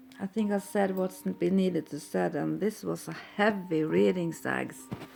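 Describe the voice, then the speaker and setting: Music plays behind a woman speaking fairly slowly with a Norwegian accent. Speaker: tarot reader. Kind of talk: tarot reading. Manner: halting.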